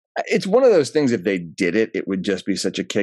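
Over a quiet background, a man speaks with lively intonation and vocal fry. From New England. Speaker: actor. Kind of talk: casual chat. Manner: animated.

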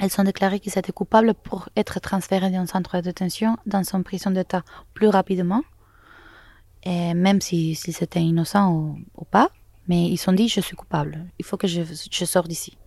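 A woman in a Spanish accent, dark and mellow in tone, with fairly even intonation at a moderate pace. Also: medium pitch for a woman. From Venezuela, Caracas. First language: Spanish (speaking French). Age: young. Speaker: photojournalist. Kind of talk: interview. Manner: halting.

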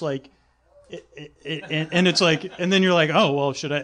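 Here a man speaks at a moderate pace. His fairly high pitch shows ordinary variation. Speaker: sleep podcast host. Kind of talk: casual chat on live comedy podcast. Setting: stage with audience.

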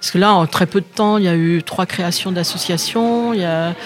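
Noticeable background noise sits behind a woman speaking at a very slow pace. Her pitch is medium, with ordinary variation. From Brittany, France (Gâvres, Morbihan). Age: 70s. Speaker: local association president. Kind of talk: interview. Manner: halting.

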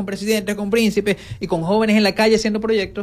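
Music plays in the background as a man talks. His voice is high and his pace fairly quick. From Venezuela, Zulia. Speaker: journalist and regional government official. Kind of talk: radio interview.

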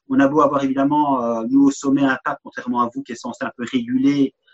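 Dry and close with no echo, a man's fairly high voice moves at a fairly quick pace with ordinary pitch variation. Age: 50s. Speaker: podcast guest, author. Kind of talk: casual conversation. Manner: halting, many repetitions.

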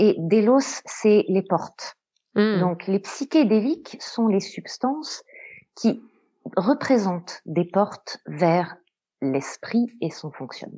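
Very slowly, a woman talks. Her pitch rises and falls across a very wide range. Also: medium pitch for a woman. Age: young. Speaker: psychotherapist. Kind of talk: explanatory interview.

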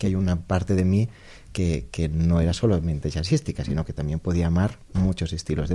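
A man speaks at a fairly quick pace in a very deep, low pitch with a dark, mellow, somewhat breathy tone. The recording is very clean, with a silent background. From Menorca, Spain. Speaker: jazz pianist. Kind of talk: interview. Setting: radio studio with audience.

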